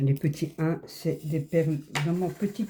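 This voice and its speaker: In a dark, mellow, somewhat breathy tone, a woman speaks fairly slowly at a fairly low pitch with fairly even intonation. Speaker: crafts YouTuber. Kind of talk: casual chat while crafting. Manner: relaxed, chatty.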